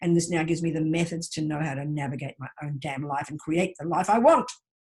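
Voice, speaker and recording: A woman talks at a fairly quick pace. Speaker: Buddhist teacher. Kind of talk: teaching session. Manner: fast; loud.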